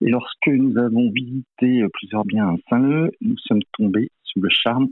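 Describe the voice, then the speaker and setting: Ordinary pitch variation accompanies speech delivered at a fairly slow pace. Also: man. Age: 60s. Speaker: finance director, campaign team member. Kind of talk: interview. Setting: phone call. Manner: hesitant, many fillers.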